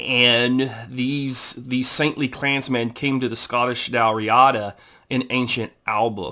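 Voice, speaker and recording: A man with an American accent speaks very slowly at a medium pitch, his tone bright and sharp and his intonation fairly even. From Texas. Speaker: amateur family historian, YouTuber. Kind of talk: informal history talk reading from a book. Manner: halting, many fillers.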